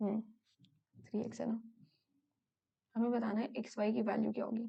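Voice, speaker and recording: A woman with a fairly high pitch and a dark, mellow tone speaks with vocal fry at a moderate pace, her loudness very even and her intonation a flat monotone. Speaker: exam prep tutor. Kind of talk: tutorial. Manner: hesitant with fillers.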